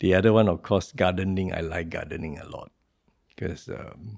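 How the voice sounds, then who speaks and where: Pitched very deep and low, a man talks at a moderate pace with ordinary pitch variation on a very clean recording with a silent background. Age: 60s. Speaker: entrepreneur and presidential hopeful. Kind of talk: interview answer.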